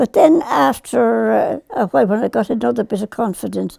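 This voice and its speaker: A woman with an Irish accent at a fairly slow pace, in a dry, close sound with no echo. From Ireland. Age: 80s+. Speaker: farmer. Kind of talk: interview answer.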